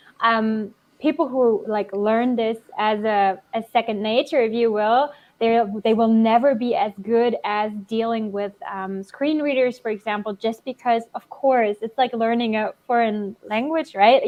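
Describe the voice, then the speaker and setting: In a German accent, a woman speaks at a fairly high pitch. Her pace is fairly slow and her pitch varies in an ordinary way. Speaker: developer relations engineer. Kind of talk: interview Q&A.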